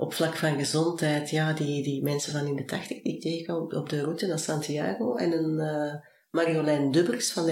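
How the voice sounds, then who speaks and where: A woman with a very deep, low pitch talks at a fairly quick pace. Audible room echo and noticeable background noise are present. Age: 40s. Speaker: business coach. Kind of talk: interview.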